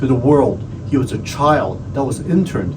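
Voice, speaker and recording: There is noticeable background noise behind this man. He talks at a moderate pace with ordinary pitch variation. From Hong Kong. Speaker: county supervisor; navy veteran. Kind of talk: tribute speech to camera.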